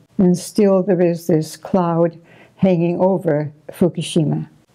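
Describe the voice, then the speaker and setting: A woman with a fairly low pitch and a dark, mellow tone talks at a fairly slow pace with fairly even intonation. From Canada. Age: 90s. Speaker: nun and missionary teacher. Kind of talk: personal testimony interview. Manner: halting, with repeated words.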